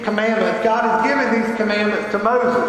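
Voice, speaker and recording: Strong room echo carries a man's high-pitched voice. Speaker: pastor. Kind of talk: sermon. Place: church.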